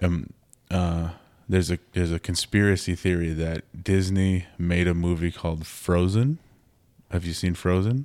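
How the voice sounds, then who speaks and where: On a very clean recording with a silent background, a man with an Upper Midwest accent speaks in a very deep, low pitch with fairly even intonation. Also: moderate pace. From Minnesota, Twin Cities. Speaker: podcast host and photographer. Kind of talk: casual chat.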